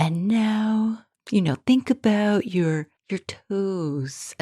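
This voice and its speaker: In a put-on character voice, a female-sounding speaker talks at a very slow pace and a medium pitch. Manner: soothing, guiding relaxation.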